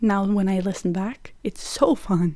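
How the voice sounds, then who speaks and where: Speaking with a Norwegian accent, a woman has a dark, mellow tone at a medium pitch. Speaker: podcast host. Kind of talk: casual chat.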